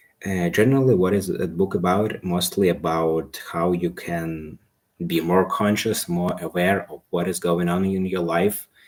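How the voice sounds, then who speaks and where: The speaker has a non-native accent and fairly even intonation. The recording is very clean with a silent background. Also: man, very deep, low pitch for a man, fairly slow pace. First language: not English. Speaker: self-improvement live streamer. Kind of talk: casual live stream monologue. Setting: live stream. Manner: halting.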